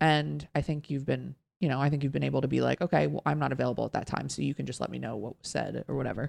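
A woman at a very fast pace with hardly any pauses. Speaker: podcast co-host. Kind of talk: casual chat. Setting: studio.

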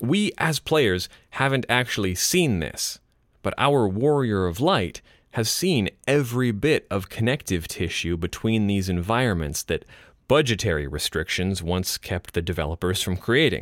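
The sound is dry and close with no echo as a man with a fairly low voice speaks at a moderate pace, his pitch swinging very widely. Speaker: podcast host. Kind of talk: guided audio commentary. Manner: calm, relaxed; sleepy.

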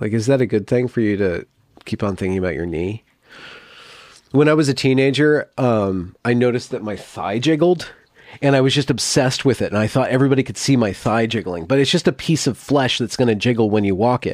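A man uses an ordinary speaking voice, talking at a fairly quick pace with a medium pitch and ordinary pitch variation. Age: 40s. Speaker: podcast host being interviewed. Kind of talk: casual interview conversation. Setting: call.

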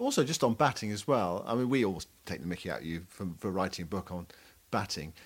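Speaking at a very fast pace, this man has a fairly low pitch. His intonation is lively. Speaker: cricket podcast co-host. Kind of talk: casual analytical chat.

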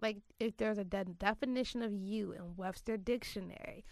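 A woman speaks in a plain, everyday voice at medium pitch. Her pace is moderate. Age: 20s. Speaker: podcast host. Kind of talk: casual chat.

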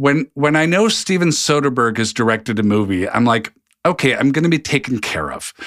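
Here a man with an American accent speaks at a fairly quick pace. His voice is medium in pitch, with lively intonation. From US Pacific Northwest, Seattle. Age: 50s. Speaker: mental health podcast host. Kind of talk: casual interview. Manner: halting, many fillers.

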